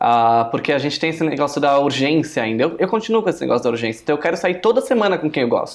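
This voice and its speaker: Speech comes at a very fast pace. Noticeable background noise runs underneath. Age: 20s. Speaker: podcast co-host. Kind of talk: casual chat.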